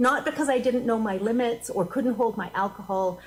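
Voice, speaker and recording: Over noticeable background noise, a woman speaks loudly. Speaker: minister. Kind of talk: sermon. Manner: animated.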